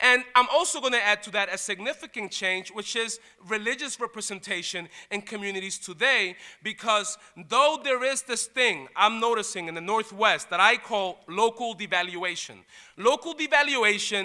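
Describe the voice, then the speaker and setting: Raised and projected, a man's high, bright, sharp voice carries an animated tone and a New York accent at a moderate pace, with ordinary pitch variation. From Puerto Rico and New York. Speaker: college diversity dean. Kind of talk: lecture.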